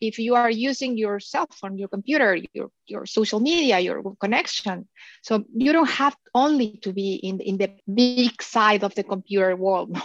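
With a Spanish accent, a woman speaks at a moderate pace in a fairly high pitch with ordinary pitch variation, the sound dry and close with no echo against a quiet background. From Mexico. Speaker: digital marketing agency founder. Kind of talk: interview.

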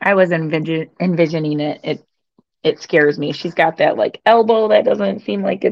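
Lively in intonation, a woman with an American accent speaks at a moderate pace and a fairly low pitch. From Michigan. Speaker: sports commentator. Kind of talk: casual chat. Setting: live stream with chat.

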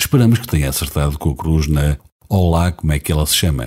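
Speaking at a fairly quick pace, a man has a very deep, low pitch with ordinary pitch variation. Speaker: radio presenter. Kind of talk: scripted narration.

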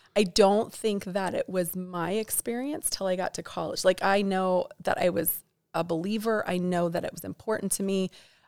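A woman with an American accent and a plain, everyday voice, medium pitch, fairly even intonation, moderate pace and hardly any pauses. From Montana (Bozeman). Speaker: church ministry director. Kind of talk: interview.

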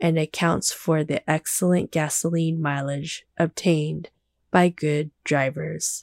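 Calm and soothing, a woman with a very deep, low pitch speaks at a very slow pace with fairly even intonation, the recording very clean with a silent background and a dry, close sound with no echo. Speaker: sleep-podcast narrator. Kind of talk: scripted reading of a vintage manual as sleep-aid narration. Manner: slow, calm, soothing and even, with measured pacing.

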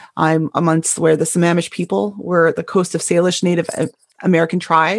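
A woman with an unremarkable speaking voice talks at a fairly quick pace and a fairly low pitch. The recording is very clean, with a silent background. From Canada. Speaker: podcast host. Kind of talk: casual interview chat; scripted introduction.

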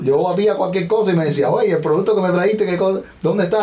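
A man speaks at a high pitch against noticeable background noise. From Cuba, Villa Clara province. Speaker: small business owner. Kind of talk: interview conversation.

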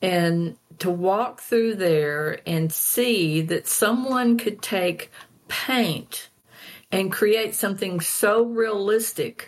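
This woman has an Arkansas accent and a medium pitch. Her pitch varies in an ordinary way. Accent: US Southern (Arkansas). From Arkansas (Fayetteville and Hope). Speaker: painter. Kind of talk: interview.

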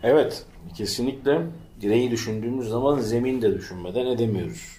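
Audible room echo surrounds a man whose fairly low voice has a dark, mellow tone. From Turkey, İzmir (Bostanlı). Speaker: podcast co-host. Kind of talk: casual chat.

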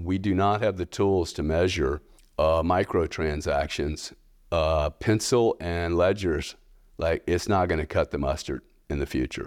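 On a very clean recording with a silent background, a man with a very deep, low pitch and ordinary pitch variation speaks at a fairly slow pace. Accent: American. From US South, Louisiana. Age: 60s. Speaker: payments company founder and bitcoin investor. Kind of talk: casual interview conversation.

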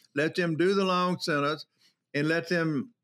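Bright and sharp in tone, a man with a Southern US accent speaks at a fairly high pitch and moderate pace on a very clean recording with a silent background. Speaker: prison commissioner. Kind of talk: interview. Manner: blunt, straight-talking.

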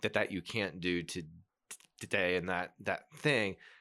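A man speaks with a very deep, low-pitched voice. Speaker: podcast co-host. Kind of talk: casual chat. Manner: halting.

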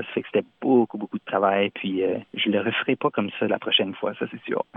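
A man with an Acadian accent talks at a fairly quick pace. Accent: Acadian French (Chiac). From Moncton, New Brunswick, Acadia (Canada). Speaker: singer-songwriter. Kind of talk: interview. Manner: halting, frequent repetitions and hesitations.

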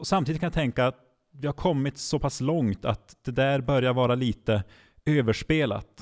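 A man speaks at a medium pitch and a moderate pace with ordinary pitch variation. The recording is very clean, with a silent background and a dry, close sound with no echo. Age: 30s. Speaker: regional church mission leader. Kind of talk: podcast interview. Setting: live recording in front of an audience. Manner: halting, many repeated words.

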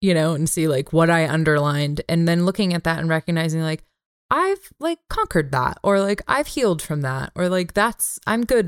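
A woman speaks with lively intonation and a fairly low pitch at a moderate pace. The sound is dry and close with no echo. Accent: American. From US West Coast, San Francisco Bay Area. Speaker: podcast co-host. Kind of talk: casual chat.

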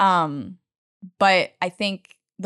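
A woman with a plain, everyday voice speaks in an American accent at a medium pitch with ordinary pitch variation. The recording is very clean with a silent background and a dry, close sound with no echo. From Utah. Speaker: startup co-founder. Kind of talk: interview.

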